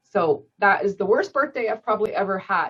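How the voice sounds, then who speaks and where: With music in the background, a woman speaks at a medium pitch in a Canadian accent. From Canada, Scarborough, Ontario. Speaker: volunteer coordinator at a seniors' charity. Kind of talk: casual Q&A at a club meeting.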